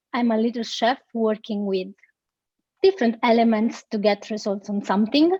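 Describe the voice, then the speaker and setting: A woman with a strong Italian accent speaks at a fairly high pitch. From Italy. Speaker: SEO expert. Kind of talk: interview.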